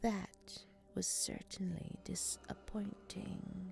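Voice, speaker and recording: A put-on character voice that sounds female comes out raspy and very slow, with light background noise. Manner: calm.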